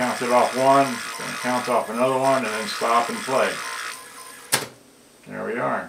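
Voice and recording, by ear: With audible room echo, a man speaks at a medium pitch and a fairly slow pace, his fairly bright tone carrying vocal fry and fairly even intonation.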